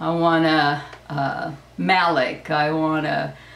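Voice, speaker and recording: A woman's voice with audible room echo. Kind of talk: casual vlog chat. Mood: upbeat, enthusiastic. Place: home room. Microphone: camera far.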